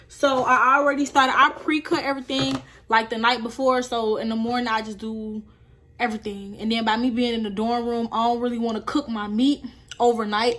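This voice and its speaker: Speaking at a fairly quick pace, a woman has an ordinary speaking voice and a fairly high pitch. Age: young. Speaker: college student. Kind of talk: casual cooking vlog talk to camera.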